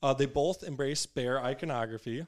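Heard on a very clean recording with a silent background, the speaker has a plain, everyday voice at a moderate pace. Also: man. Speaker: sports podcast co-host. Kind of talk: casual sports chat. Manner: joking.

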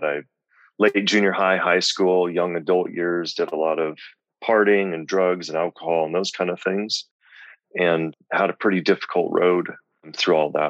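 A man with a very deep, low pitch speaks at a moderate pace in a Midwestern US accent. His intonation is fairly even, and the sound is dry and close with no echo. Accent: General American, Midwestern. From US Midwest (Lincoln, Nebraska). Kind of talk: interview, faith testimony.

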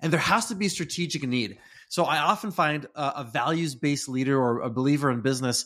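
In a very clean recording with a silent background, a man with an American accent uses a normal speaking voice. His pitch is fairly high and his pace fairly quick. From US Pacific Northwest (Redmond, Washington). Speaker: leadership consultant. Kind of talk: interview.

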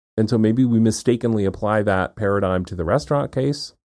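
With an American accent, a dark, mellow voice moves at a moderate pace with ordinary pitch variation in a very clean recording with a silent background. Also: man. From Maine, US. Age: 50s. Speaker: podcast co-host, legal scholar. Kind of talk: casual chat.

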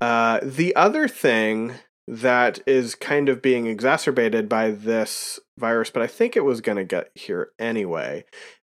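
In a very clean recording with a silent background, a man speaks at a very slow pace. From Pennsylvania. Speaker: local official and live stream co-host. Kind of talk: casual live-streamed talk show. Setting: live stream.

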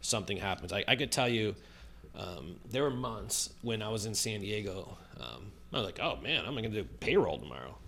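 A man with an American accent speaks at a moderate pace. His fairly low voice carries vocal fry. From Chicago, US Midwest. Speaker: real estate video marketer. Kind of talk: interview.

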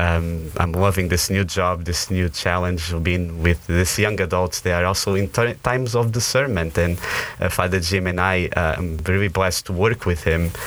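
A man with a Portuguese accent speaks in a very deep, low voice at a moderate pace with hardly any pauses. His loudness stays very even over noticeable background noise. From northern Portugal, moved to US at 17. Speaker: campus minister. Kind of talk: interview conversation. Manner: animated; hesitant, with fillers and repetitions.

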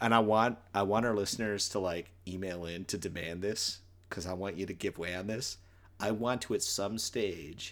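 Fairly low in pitch, a man speaks in a plain, everyday voice at a moderate pace, his intonation fairly even. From Newfoundland, Canada. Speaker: podcast co-host, music fan. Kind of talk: casual chat.

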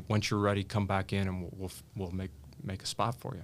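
The speaker is a man. His pitch is fairly low. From US Midwest, Indiana. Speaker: attorney and cancer survivor. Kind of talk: interview, personal story.

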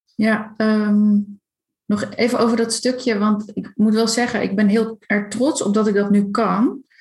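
A woman speaks at a fairly high pitch and a fairly slow pace, with very even loudness and a flat monotone, as music plays in the background. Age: 30s. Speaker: coach for highly sensitive people. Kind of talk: casual interview.

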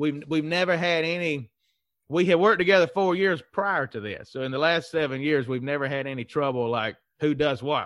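Fairly high in pitch, a man with a Southern US accent speaks at a fairly quick pace with lively intonation against a quiet background. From Mississippi, US South. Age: 30s. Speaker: economic development consultant and CEO. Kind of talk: casual interview chat.

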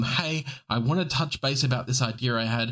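Someone speaks in an Australian accent at a moderate pace. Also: man. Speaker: podcast co-host. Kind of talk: casual chat. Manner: casual, swears often.

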